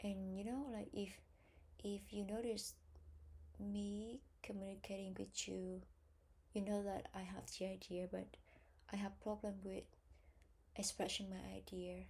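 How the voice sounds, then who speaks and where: Pausing long and often, a woman speaks at a fairly slow pace. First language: Vietnamese. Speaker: English test learner. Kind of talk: self-study practice session. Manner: halting, hesitant.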